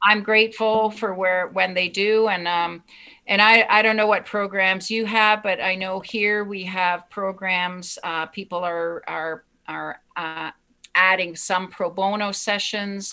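A woman speaks at a medium pitch and a fairly slow pace, her bright, sharp tone flat and monotone in a very clean recording with a silent background. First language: German. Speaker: psychotherapist and self-help author. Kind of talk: casual interview.

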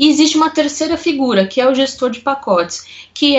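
A woman at a moderate pace. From Brazil, São Paulo city. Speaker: corporate controller. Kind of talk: interview.

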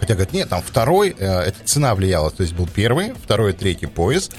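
With hardly any pauses, a man with a very deep, low pitch talks at a moderate pace and very even loudness over noticeable background noise. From Yamal, Russian Far North. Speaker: podcast co-host. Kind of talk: casual chat.

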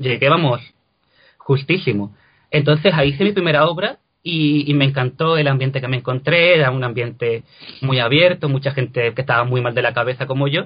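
A man with a normal speaking voice talks at a fairly quick pace, his pitch fairly high and his pitch variation ordinary. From Cádiz, Andalusia, Spain. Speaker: translator and actor. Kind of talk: interview.

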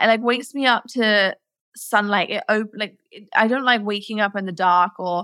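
On a very clean recording with a silent background and a dry, close sound with no echo, a woman speaks quickly enough, at a fairly quick pace, with medium pitch and a bright, sharp tone. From England, Nottingham. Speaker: entrepreneur, former chiropractor. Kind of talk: interview.

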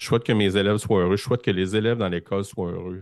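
A man with a Quebec accent speaks in a fairly low pitch. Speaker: primary school teacher. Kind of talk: casual interview conversation. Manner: halting, many repetitions.

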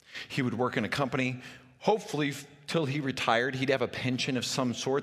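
Amid noticeable background noise, a man with an American accent talks at a very fast pace. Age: 40s. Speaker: pastor. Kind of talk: sermon.

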